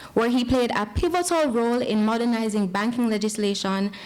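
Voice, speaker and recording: A woman with a fairly high pitch speaks in a passionate tone at a moderate pace over noticeable background noise. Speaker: event host introducing keynote speaker. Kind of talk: formal introduction.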